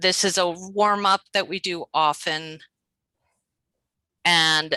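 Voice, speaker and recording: Over a quiet background, the voice has a bright, sharp tone and fairly even intonation, its sound dry with no echo. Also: woman. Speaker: adult literacy teacher; teacher presenting to colleagues. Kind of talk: teacher training workshop. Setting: video call. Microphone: video call.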